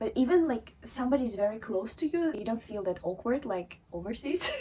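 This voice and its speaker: A woman's somewhat breathy, dark, mellow tone at a fairly high pitch, with very wide pitch swings. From Russia, Eastern Siberia (Angarsk). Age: 20s. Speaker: model and former tech worker. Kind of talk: interview.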